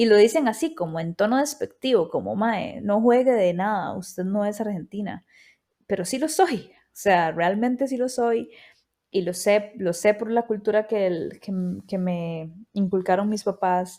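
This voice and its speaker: On a very clean recording with a silent background, a woman speaks at a fairly slow pace and medium pitch in a dark, mellow tone. Her pitch variation is ordinary, while her loudness swings widely. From Costa Rica. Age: 30s. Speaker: podcast host. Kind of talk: personal storytelling monologue.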